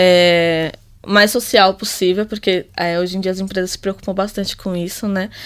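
This woman has a medium pitch and an ordinary speaking voice. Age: 20s. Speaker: tech company partner. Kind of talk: casual chat.

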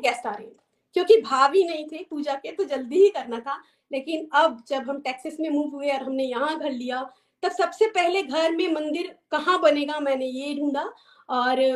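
The woman's high-pitched voice shows ordinary pitch variation and big swings in loudness. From Himachal Pradesh, India (Chamba). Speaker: homemaker and devotee. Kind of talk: testimony. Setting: video call.

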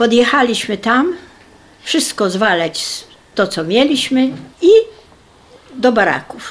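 Her pitch is high, with very wide swings. The woman talks at a very slow pace with long, frequent pauses. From Poland. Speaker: wartime deportation survivor. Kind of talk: testimony.

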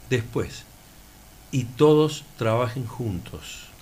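There is vocal fry in this man's voice, along with audible room echo. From Laguna Larga, Córdoba, Argentina. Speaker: athletics coach and local resident. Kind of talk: radio interview.

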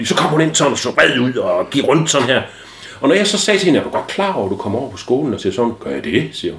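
A man rattles along at a very fast pace amid noticeable background noise. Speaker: ADHD expert guest and father. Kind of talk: casual interview chat. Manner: loud.

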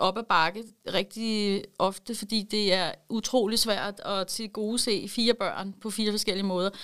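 The speech unfolds at a very slow pace on a very clean recording with a silent background. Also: woman. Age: 40s. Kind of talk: interview.

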